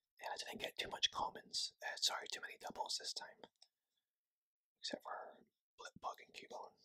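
Whispering at a moderate pace, the speaker leaves long, frequent pauses. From Scotland. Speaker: ASMR creator. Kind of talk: ASMR card unboxing talk. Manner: whispered. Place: home room. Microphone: phone near.

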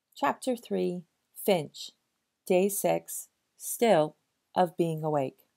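Her tone dark and mellow, a woman speaks at medium pitch with ordinary pitch variation. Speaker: audiobook reader. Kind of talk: novel read aloud.

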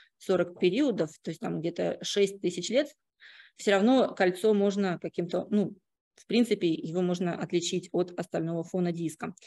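An ordinary speaking voice from a woman, medium in pitch with ordinary pitch variation, at a moderate pace against a quiet background. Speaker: astrophysicist; conference presenter. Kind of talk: conference talk. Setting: stage with audience. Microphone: video call.

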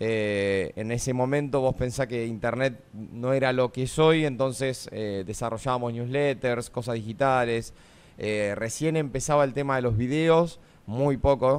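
A man's fairly slow delivery with fairly even intonation. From Argentina, La Pampa. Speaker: former reality show contestant; radio guest. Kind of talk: casual chat. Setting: radio studio. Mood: relaxed, smiling. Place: studio. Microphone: studio mic.

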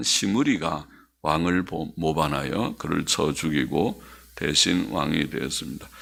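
A man speaks at a very slow pace, with vocal fry. His pitch swings very widely. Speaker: pastor. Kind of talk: sermon.

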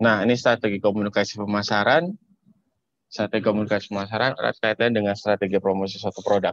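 A man speaks at a very fast pace in a fairly low voice with fairly even intonation, the sound dry with no echo over a quiet background. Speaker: public relations volunteer; webinar presenter. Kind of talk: presentation. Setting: video call. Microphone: video call.

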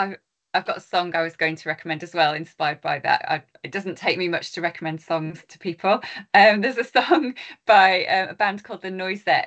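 Over a quiet background, a woman with a medium pitch speaks at a fairly quick pace, her pitch varying in an ordinary way while her loudness swings widely. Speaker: university lecturer. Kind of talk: event moderation. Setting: university event with audience. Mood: warm, appreciative. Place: home room. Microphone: video call.

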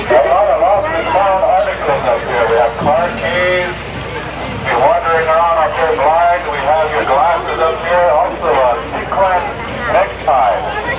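A man at a fairly slow pace with ordinary pitch variation, over loud background noise. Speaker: event announcer. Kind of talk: public announcement. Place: open country.

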